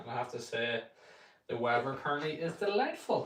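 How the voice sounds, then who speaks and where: A man with a Northern Irish accent speaks at a moderate pace. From Northern Ireland. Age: 20s. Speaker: golf streamer. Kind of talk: casual live stream chat.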